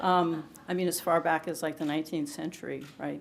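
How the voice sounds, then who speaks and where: Audible room echo carries a woman's very deep, low voice as she speaks fairly quickly in a monotone, flat way. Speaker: poet, award winner. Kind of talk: award acceptance speech; introducing a poetry reading. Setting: stage with audience at ceremony. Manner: halting, many fillers.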